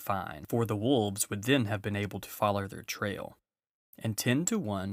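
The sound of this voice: Against a quiet background, the reading voice is unforced, with ordinary pitch variation.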